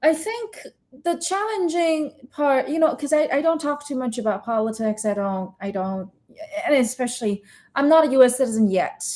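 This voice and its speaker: A woman with a slight Chinese accent speaks at a moderate pace in a high voice with a dark, mellow tone. Her pitch swings very widely. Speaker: interviewer and comedian. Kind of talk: casual chat.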